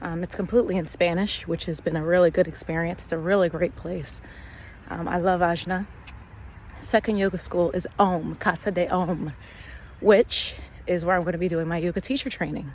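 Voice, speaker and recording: A woman with an unremarkable speaking voice and an American accent talks at a fairly quick pace in a fairly low pitch with fairly even intonation. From USA. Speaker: English teacher. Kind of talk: casual talk to camera. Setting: outdoors.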